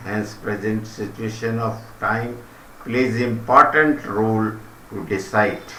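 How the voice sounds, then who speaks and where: A man with an Indian accent speaks at a very slow pace and medium pitch. The recording carries audible room echo and noticeable background noise. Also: fairly even intonation. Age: old. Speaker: retired commentator. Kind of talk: reading aloud. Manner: formal.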